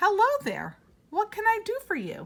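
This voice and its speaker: A woman puts on a squeaky character voice at an extremely high pitch, speaking at a moderate pace. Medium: read story.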